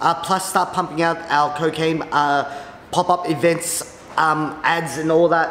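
Audible room echo along with light background noise. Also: man. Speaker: vlogger. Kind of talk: casual vlog chat. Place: office.

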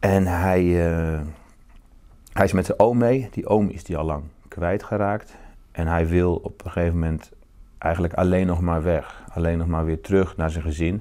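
In a quiet background, a man with a very deep, low pitch and a dark, mellow tone speaks at a moderate pace with fairly even intonation. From Netherlands, northern Brabant. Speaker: novelist. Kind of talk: interview. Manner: halting, repeats words. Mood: calm, reflective. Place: home room. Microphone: lapel.

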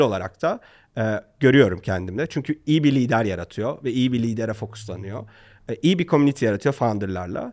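This man talks at a fairly quick pace, his pitch swinging very widely, over a quiet background. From Turkey. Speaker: startup founder; podcast guest. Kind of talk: interview. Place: studio. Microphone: studio mic.

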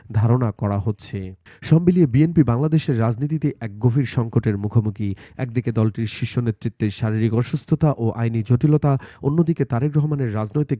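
A man's dark, mellow voice at medium pitch, with ordinary pitch variation, comes through dry and close with no echo on a very clean recording with a silent background. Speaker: news video narrator. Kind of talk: scripted narration.

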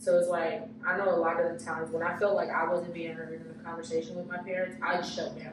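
The speech runs at a very fast pace with hardly any pauses, with audible room echo and noticeable background noise. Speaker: podcast host. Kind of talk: casual chat. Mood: reflective, earnest. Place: empty room. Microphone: camera far.

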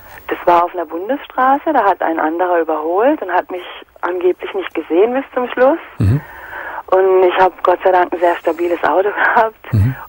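Noticeable background noise runs under this recording. A woman talks at a moderate pace and a medium pitch. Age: 40s. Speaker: caller. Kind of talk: phone call.

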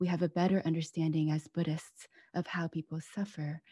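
Over a quiet background with a dry sound and no echo, a woman talks at a fairly quick pace in a fairly low, monotone, flat voice that is somewhat breathy with a dark, mellow tone. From US (Pennsylvania and Washington State). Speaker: author. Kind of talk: book talk conversation. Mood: calm, thoughtful. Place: home room. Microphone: video call.

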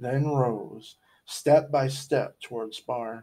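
Someone is reading aloud in a natural voice. The delivery is reading aloud in a natural voice.

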